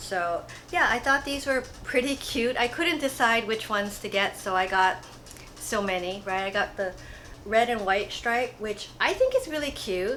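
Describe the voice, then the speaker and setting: Intonation is lively as a woman speaks at a moderate pace. Noticeable background noise is present. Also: fairly high pitch for a woman. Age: 50s. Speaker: fashion haul vlogger. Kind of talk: casual product review. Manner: relaxed, chatty.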